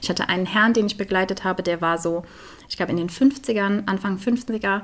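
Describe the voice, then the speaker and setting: Talking at a fairly quick pace, a woman has an unremarkable speaking voice at a medium pitch. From Germany, Eifel region. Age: 20s. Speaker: volunteer hospice companion and theologian. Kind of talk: interview. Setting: at her home.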